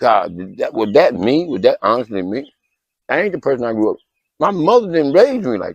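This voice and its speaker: A man's fairly high, fry-laden voice, fairly quick, with very wide pitch swings. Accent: American. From New York (Brooklyn). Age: 60s. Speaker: formerly homeless ex-convict interviewee. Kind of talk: interview testimony. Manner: halting, repeats words.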